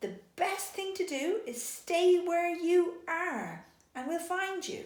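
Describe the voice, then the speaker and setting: A squeaky, put-on character voice from a woman, extremely high-pitched, very slow, with a slight echo. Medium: read story.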